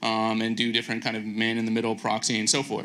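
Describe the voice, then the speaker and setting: With audible room echo, a man's voice comes through with a bright, sharp tone. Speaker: video engineer, conference speaker. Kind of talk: conference lightning talk. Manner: fast; frequent fillers (um, uh).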